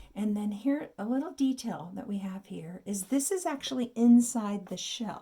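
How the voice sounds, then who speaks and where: A somewhat breathy woman's voice, fairly high in pitch, dark and mellow in tone, with lively intonation at a moderate pace. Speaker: art teacher. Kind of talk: tutorial.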